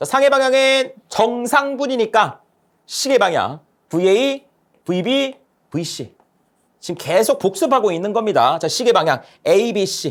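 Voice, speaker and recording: Long, frequent pauses interrupt fairly slow speech. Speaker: lecturer. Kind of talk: lecture.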